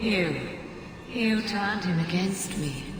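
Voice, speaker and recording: A female-sounding put-on character voice at a medium pitch and fairly slow pace, amid loud background noise and strong echo. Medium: machinima. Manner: sultry, mocking.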